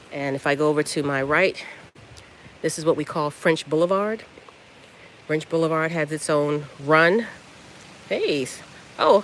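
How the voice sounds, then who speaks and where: Long, frequent pauses break up speech at a moderate pace over noticeable background noise. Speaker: dog breeder. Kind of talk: live stream tour. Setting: outdoors. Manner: soft-spoken.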